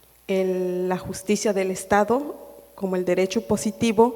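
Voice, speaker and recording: A woman is talking. She has a Chiapas accent. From Chiapas, Mexico (Chilón, Tseltal community). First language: Tseltal (speaking Spanish). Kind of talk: panel discussion. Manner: halting, many fillers.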